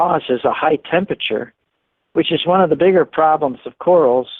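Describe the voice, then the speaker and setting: At a moderate tempo, a man talks in a normal speaking voice, pitched rather high and with ordinary pitch variation. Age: 60s. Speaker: marine scientist. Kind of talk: interview.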